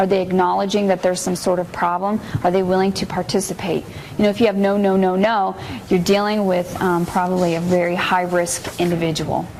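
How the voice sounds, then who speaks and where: Over noticeable background noise and audible room echo, a woman speaks fairly quickly at a medium pitch, her intonation monotone and flat and her loudness very even. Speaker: juvenile probation supervisor. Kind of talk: training lecture. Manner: fast.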